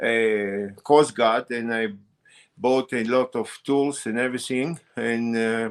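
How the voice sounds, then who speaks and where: A man at medium pitch for a man, very slow, with fairly even intonation, on a very clean recording with a silent background. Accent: non-native. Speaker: wood carver and carving teacher. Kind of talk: casual interview. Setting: on-site visit, filmed live. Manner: halting, many fillers and repetitions.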